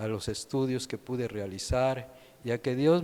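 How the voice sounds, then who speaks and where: This man's voice sits at a medium pitch, with a dark, mellow tone and fairly even intonation. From Mexico, Veracruz. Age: 70s. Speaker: retired naval officer. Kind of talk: testimony.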